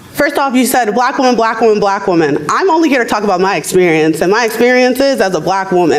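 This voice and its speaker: Over noticeable background noise and audible room echo, a woman with an American accent speaks at a very fast pace with lively intonation. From rural US South. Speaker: abortion rights advocate. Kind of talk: panel debate. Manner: loud.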